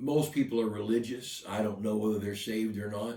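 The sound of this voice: The speaker reads in an unforced reading voice. Their intonation remains fairly even.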